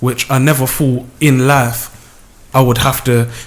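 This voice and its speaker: Speaking with a South London accent, this man keeps a moderate pace. His pitch is medium. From South London, Lewisham. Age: 20s. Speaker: music video creator and deputy manager. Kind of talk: radio interview.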